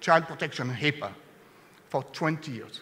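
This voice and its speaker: A man speaks with a French accent. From France. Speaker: sales executive. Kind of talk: conference presentation.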